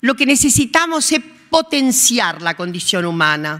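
Very slowly, a woman speaks at a fairly high pitch with very wide pitch swings and a bright, sharp tone. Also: quiet background. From Argentina, La Pampa. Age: 70s. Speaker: sociologist and historian receiving an award. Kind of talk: acceptance speech. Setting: legislative hall ceremony. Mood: warm, earnest, at times ironic. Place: hall. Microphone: podium.

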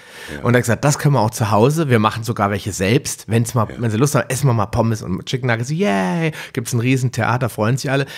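A man speaks at a very fast pace with hardly any pauses. His pitch is medium, with ordinary variation. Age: 40s. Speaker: podcast host. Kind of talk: interview.

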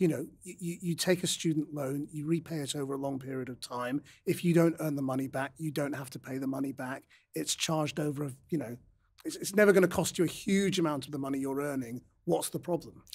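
A man talks at a fairly quick pace with a fairly high pitch. His pitch varies in an ordinary way, and the background is quiet. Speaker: interviewer. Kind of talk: interview. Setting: studio. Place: studio. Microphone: studio mic.

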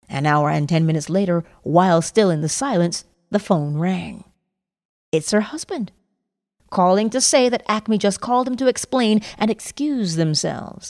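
Her voice is a plain, everyday voice, medium in pitch, moving at a moderate pace with lively intonation. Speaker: audiobook narrator. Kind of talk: lecture reading.

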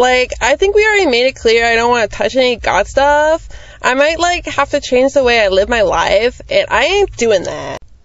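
A whiny, put-on character voice at a fairly high pitch, delivered at a moderate pace. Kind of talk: comic sketch acting. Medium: puppet show. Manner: valley-speak, whiny, lazy. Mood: dismissive, comic.

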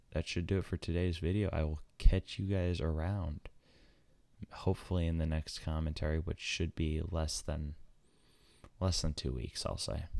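The man's pitch is very deep and low, his tone dark and mellow, with ordinary pitch variation. He speaks at a moderate pace on a very clean recording with a silent background. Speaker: gaming YouTuber. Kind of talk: casual vlog talk to viewers. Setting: home recording at four in the morning. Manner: halting, stammering.

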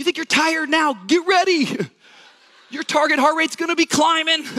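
With an extremely high pitch, a man speaks in a raised, projected voice against a quiet background. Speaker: preacher on stage. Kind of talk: stand-up comedy. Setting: stage with audience. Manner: animated; casual, conversational. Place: stage. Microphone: headset.

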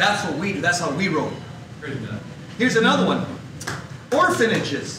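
A man's raised, projected, high-pitched voice with an American accent, at a moderate pace with lively intonation and long, frequent pauses, amid noticeable background noise and audible room echo. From Los Angeles area, US. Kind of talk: talk. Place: hall.

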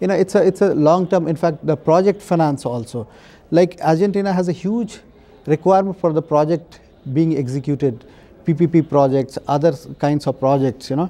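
A man talks at a moderate pace, his pitch fairly high and varying in an ordinary way. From India. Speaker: bank official. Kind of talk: interview. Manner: halting, many fillers. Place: home room. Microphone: lapel.

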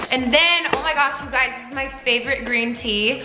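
Faint music plays in the background as a woman speaks fairly quickly with ordinary pitch variation and audible room echo. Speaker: vlogger. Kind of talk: casual vlog chat. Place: kitchen. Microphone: phone near.

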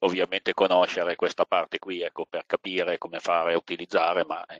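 The sound is dry and close with no echo as a man rattles off words at a very fast pace. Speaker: surveyor, seminar co-host. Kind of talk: online seminar discussion. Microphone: connection dropped, not heard at first.

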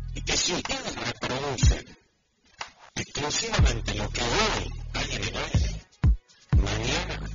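Loud background noise surrounds a man who talks fairly slowly with long, frequent pauses, in a dry sound with no echo. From Argentina. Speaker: radio announcer. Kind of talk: lecture to students. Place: classroom. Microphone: studio mic.

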